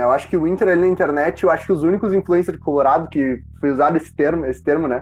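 At a very fast pace with hardly any pauses, a man speaks at a fairly high pitch with ordinary pitch variation. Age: 20s. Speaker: football podcast host. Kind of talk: casual chat.

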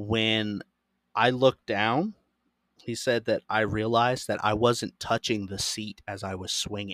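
A man with an American accent speaks in a fairly low, flat monotone, the sound dry and close with no echo. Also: fairly slow pace. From Florida. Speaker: podcast host. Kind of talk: reading aloud; casual chat.

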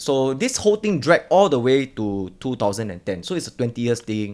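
In a very clean recording with a silent background, a man of medium pitch talks at a fairly quick pace with very wide pitch swings. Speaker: roundtable panelist, investor. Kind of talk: casual roundtable discussion.

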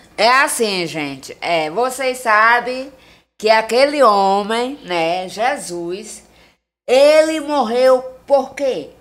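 A woman talks with a high pitch and lively intonation. Her pace is very slow. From Maranhão, Brazil (Tuntum). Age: 30s. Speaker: social media personality. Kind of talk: casual interview chat; religious exhortation.

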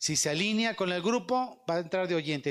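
This man talks at a fairly quick pace, his pitch swinging very widely, in a very clean recording with a silent background. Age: 50s. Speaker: evangelist speaker. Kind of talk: sermon.

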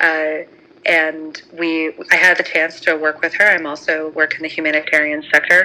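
A woman speaks at a fairly slow pace. Noticeable background noise runs behind her. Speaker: confessor telling anonymous story. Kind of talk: personal story. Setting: phone call.

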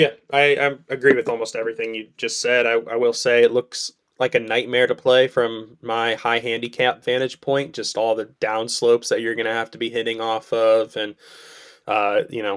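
On a very clean recording with a silent background, a man talks at a moderate pace and medium pitch in a monotone, flat delivery. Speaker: podcast co-host. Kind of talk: casual chat. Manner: casual, conversational.

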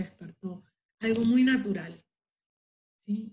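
Speaking at a moderate pace with an Argentine accent, a woman uses a fairly high pitch and ordinary pitch variation. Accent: Rioplatense Argentine Spanish. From Buenos Aires, Argentina. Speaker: holistic therapist and masseuse. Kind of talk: interview.

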